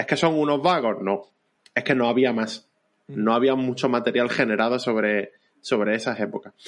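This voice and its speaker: An ordinary speaking voice at a fairly quick pace with ordinary pitch variation over a quiet background. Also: man. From Andalusia, Vélez-Málaga. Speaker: illustrator and history popularizer. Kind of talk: casual interview.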